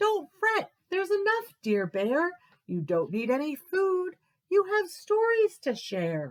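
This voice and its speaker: A squeaky put-on character voice speaks at a fairly slow pace. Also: woman, extremely high pitch for a woman. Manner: comforting, kind.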